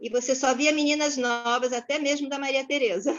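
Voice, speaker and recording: In a high voice with ordinary pitch variation, a woman talks at a fairly quick pace. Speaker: psychologist. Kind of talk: class discussion, personal testimony.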